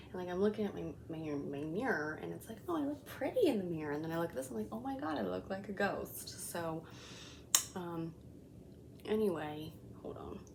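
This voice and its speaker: Over noticeable background noise and audible room echo, a woman speaks in a fairly low pitch with lively intonation. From Colombian heritage. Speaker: beauty vlogger. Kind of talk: makeup review tutorial. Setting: home, kids sleeping nearby. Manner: casual, filler-heavy; whispering.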